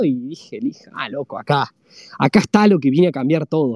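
A man speaks with lively intonation. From Argentina, La Rioja. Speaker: web3 community builder, former lawyer. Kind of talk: interview conversation. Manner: halting, many repetitions and fillers.

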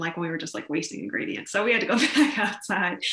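Over noticeable background noise, a woman with an American accent talks very fast at a fairly low pitch, her intonation lively. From US Midwest (Columbus, Ohio). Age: 20s. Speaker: college student and small business owner. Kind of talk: casual interview. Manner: hesitant, many fillers.

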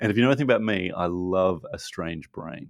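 Ordinary pitch variation carries the speech at a moderate pace. The sound is dry and close with no echo, over a quiet background. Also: man. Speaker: podcast host. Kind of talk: casual chat. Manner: animated.

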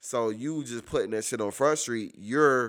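Speaking at a fairly quick pace, a man uses ordinary pitch variation. The recording is very clean, with a silent background. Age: 30s. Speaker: podcast guest, workplace manager. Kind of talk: casual chat.

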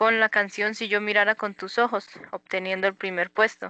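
Bright and sharp, a woman's fairly high voice comes across dry and close with no echo over a quiet background. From Colombia, Boyacá. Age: 20s. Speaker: musician. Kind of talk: interview. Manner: hesitant, many fillers.

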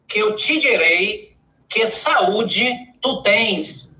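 A man with an extremely high pitch speaks in a raised, projected voice at a very slow pace, his pitch swinging very widely amid audible room echo. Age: 50s. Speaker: dentist and public speaking mentor. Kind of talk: interview on a live stream.

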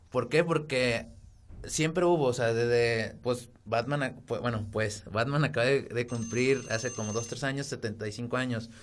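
In an ordinary speaking voice, a man talks at a medium pitch and fairly slow pace with fairly even intonation. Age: 20s. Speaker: architect, podcast co-host. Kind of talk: casual chat.

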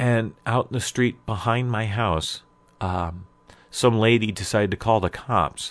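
With an American accent, a man talks in an ordinary speaking voice at a fairly slow pace, his medium pitch showing ordinary variation. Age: 50s. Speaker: podcast host. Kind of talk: personal storytelling monologue.

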